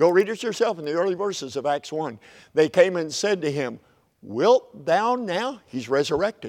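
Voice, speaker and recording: In an Oklahoma accent, a man talks with very wide pitch swings. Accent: Oklahoma Southern US. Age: 70s. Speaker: preacher. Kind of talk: sermon.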